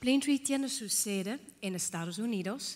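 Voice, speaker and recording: In a Dutch accent, a woman speaks at a fairly slow pace with ordinary pitch variation. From Netherlands. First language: Dutch (speaking Spanish). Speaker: healthcare organization director. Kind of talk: conference talk. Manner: halting, with fillers.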